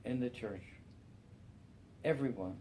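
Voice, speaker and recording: A man with a New York accent speaks with lively intonation. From Brooklyn, New York. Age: 70s. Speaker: church member. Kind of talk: testimony. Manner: halting.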